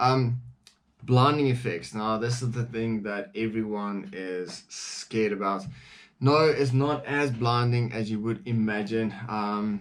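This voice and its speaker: A man with a non-native accent, medium pitch, ordinary pitch variation and a fairly slow pace. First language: not English. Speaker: firearms reviewer. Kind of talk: product review. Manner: casual, with frequent fillers.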